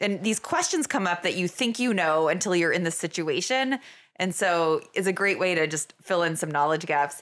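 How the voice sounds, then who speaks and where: A woman's plain, everyday voice, fairly low, with an American accent, lively intonation and very even loudness at a moderate pace, in a very clean recording with a silent background. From Vermont, US. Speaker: emergency physician and medical director. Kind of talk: casual interview.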